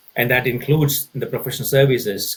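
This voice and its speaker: A man with a Tamil accent speaks at a medium pitch and moderate pace, his voice somewhat breathy. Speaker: consulting executive. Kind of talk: podcast interview. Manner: halting, frequent repetitions; animated.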